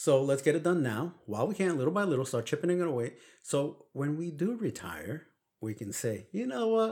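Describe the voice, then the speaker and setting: With a Brooklyn accent, a man speaks at a moderate pace and a fairly high pitch, with very wide pitch swings. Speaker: podcast co-host. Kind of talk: casual chat.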